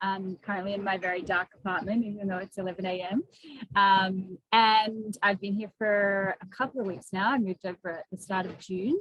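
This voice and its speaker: With an Australian accent, a woman speaks at a moderate pace. Her pitch is medium and her intonation fairly even. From Western Australia, small country town. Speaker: ultra runner and climber. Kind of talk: casual interview. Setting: video call.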